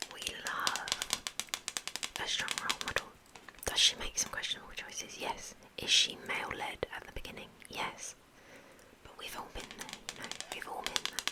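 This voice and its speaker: Over noticeable background noise, a woman whispers at a moderate pace, with long, frequent pauses and big swings in loudness. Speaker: ASMR creator. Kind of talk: whispered ASMR ramble. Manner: whispered.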